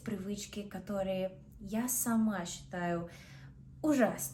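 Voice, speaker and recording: Lively intonation marks this very slow delivery in an Australian accent, heard with audible room echo. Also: woman. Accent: Australian English accent in Russian. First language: English (speaking Russian). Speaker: vlogger. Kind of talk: casual vlog talk. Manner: halting, with self-corrections.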